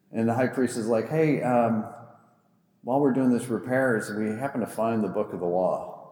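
A man speaks at a moderate pace in a medium pitch. His intonation is fairly even, and the room echo is audible. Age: 40s. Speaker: pastor. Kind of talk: sermon.

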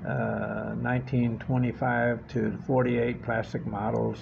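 Noticeable background noise behind speech with an American accent. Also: man. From Corpus Christi, Texas. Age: 60s. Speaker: garage owner and model car builder. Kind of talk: casual interview chat. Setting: shop visit.

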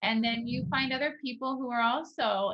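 This woman has a plain, everyday voice, speaking at a moderate pace with fairly even intonation. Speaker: podcast host. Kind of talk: casual conversation.

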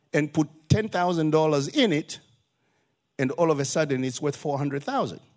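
Pausing long and often, a man with a fairly high pitch talks at a fairly quick pace with ordinary pitch variation. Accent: Zimbabwean. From Zimbabwe. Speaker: visiting preacher. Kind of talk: sermon. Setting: church.

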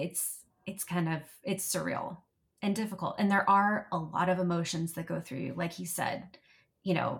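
A woman speaks in a fairly low register for a woman, her intonation flat and monotone. Her voice is somewhat breathy. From US, military family, moved around. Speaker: patient sharing illness experience. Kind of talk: interview conversation.

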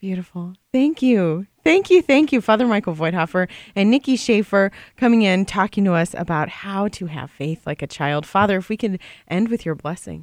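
A woman with an ordinary speaking voice talks at a moderate pace and medium pitch. Her intonation is lively, and the sound is dry and close with no echo. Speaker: radio co-host. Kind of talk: radio interview.

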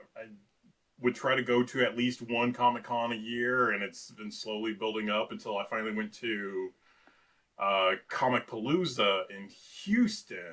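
A man with a normal speaking voice talks at medium pitch. His pace is moderate, and his pitch varies in an ordinary way. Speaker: cosplayer. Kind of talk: casual chat.

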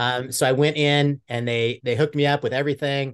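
A man with a medium pitch uses a normal speaking voice at a fairly quick pace. His intonation is fairly even, and the background is quiet. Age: 50s. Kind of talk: casual chat.

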